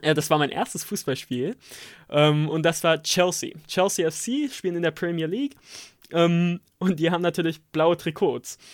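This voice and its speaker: A high-pitched man with ordinary pitch variation. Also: moderate pace, very clean recording, silent background. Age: 20s. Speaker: podcast co-host, formation dancer, student. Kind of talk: casual chat. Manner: halting.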